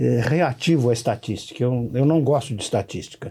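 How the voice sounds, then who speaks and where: A somewhat breathy man's voice at a medium pitch with lively intonation. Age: 70s. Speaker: law professor. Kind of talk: podcast interview.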